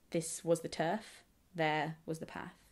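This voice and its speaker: A woman with a fairly low pitch speaks in a calm tone. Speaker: booktuber. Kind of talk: literary reading aloud, essay. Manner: calm, soft, measured.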